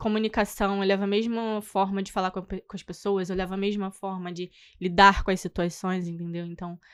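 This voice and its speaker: On a very clean recording with a silent background, a woman speaks at medium pitch in a monotone, flat way. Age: 20s. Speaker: tour guide. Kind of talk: podcast interview. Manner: soft-spoken; halting.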